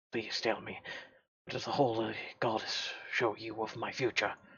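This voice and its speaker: A man speaks in a put-on character voice at a moderate pace. His pitch is medium and his intonation monotone and flat. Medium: solo performance. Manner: timid, earnest.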